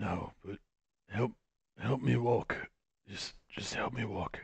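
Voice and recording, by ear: A man's slow, put-on character voice, fairly low, with vocal fry, a husky, rough edge and ordinary pitch variation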